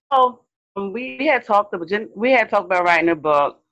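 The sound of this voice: A woman speaks with fairly even intonation. Her tone is fairly bright.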